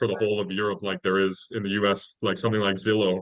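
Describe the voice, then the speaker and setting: This speaker has an American accent and talks at a fairly quick pace. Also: man. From California. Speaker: university student. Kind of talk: casual chat.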